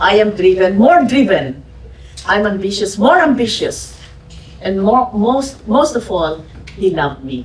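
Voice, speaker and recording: A woman with a Filipino accent, medium pitch and very wide pitch swings at a fairly slow pace, with audible room echo and noticeable background noise. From Philippines. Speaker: podcast host and businesswoman. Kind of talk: fireside chat with audience. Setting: museum event with audience.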